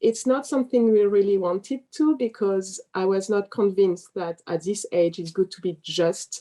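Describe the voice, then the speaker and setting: Moderate-paced, medium-pitched speech from a woman with a French accent, a dark, mellow tone and lively intonation, in a dry, close sound with no echo. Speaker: parent. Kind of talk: interview.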